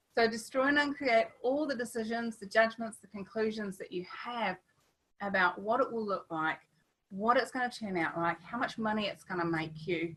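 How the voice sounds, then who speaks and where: An ordinary speaking voice, a woman's fairly high pitch, lively intonation, a moderate pace and big swings in loudness. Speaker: webinar host and artist. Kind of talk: online workshop webinar. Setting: video call.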